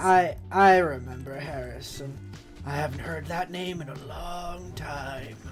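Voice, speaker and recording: Over clear background music, a put-on character voice at a low-to-middle pitch speaks at a fairly slow pace. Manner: mystical, dreamy, wistful.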